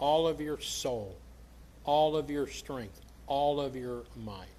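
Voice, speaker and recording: A man with an American accent in audible room echo. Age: 60s. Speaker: pastor. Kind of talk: sermon. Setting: church.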